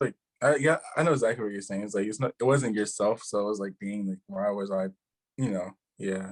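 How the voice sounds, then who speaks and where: A man with a normal speaking voice talks at a fairly quick pace, with fairly low pitch and ordinary pitch variation. The sound is dry and close, with no echo. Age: 30s. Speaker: rapper and independent artist. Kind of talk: casual chat.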